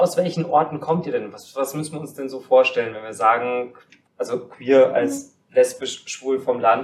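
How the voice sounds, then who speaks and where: Here a man speaks at a medium pitch in an unremarkable speaking voice. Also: ordinary pitch variation, moderate pace. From Kaufbeuren, Bavarian Swabia. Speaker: podcast host. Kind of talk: casual chat. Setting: studio.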